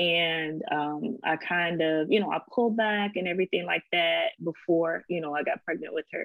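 A woman with an American accent speaks in a plain, everyday voice at a fairly low pitch. She keeps a moderate pace with ordinary pitch variation and hardly any pauses. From US South, Savannah, Georgia. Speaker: recording artist and speaker. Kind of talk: interview conversation.

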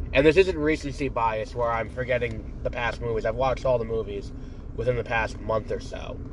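The pace is fairly quick. Noticeable background noise sits behind the voice. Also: man. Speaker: podcast host and film reviewer. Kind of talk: solo review podcast. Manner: casual, filler-heavy.

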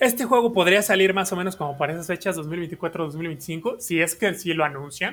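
A man speaks with a Mexican accent at a high pitch and a moderate pace. His pitch varies in an ordinary way, and he hardly pauses. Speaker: podcast co-host. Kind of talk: casual chat.

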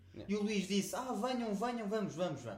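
A man talks with a high pitch and lively intonation. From Portugal, Oeste region (Lourinhã). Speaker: podcast co-host. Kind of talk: casual chat. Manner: animated.

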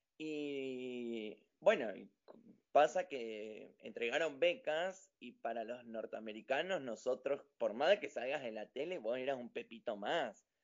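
A normal speaking voice from a man at a fairly slow pace, with lively intonation. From Argentina, General Roca, Río Negro (Patagonia). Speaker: professional dancer. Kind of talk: interview.

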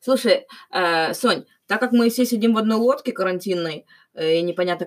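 In a plain, everyday voice, a woman talks at a fairly quick pace with ordinary pitch variation. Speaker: podcast host. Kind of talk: casual chat. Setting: call.

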